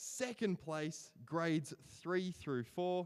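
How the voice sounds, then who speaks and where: A man speaks with a strong Australian accent. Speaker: awards ceremony emcee. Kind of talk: award announcements.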